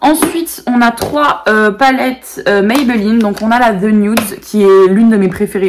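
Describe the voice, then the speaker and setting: A woman talks in a fairly high voice with normal pitch movement as clear noise runs underneath. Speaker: beauty YouTuber. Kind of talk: casual product show-and-tell video.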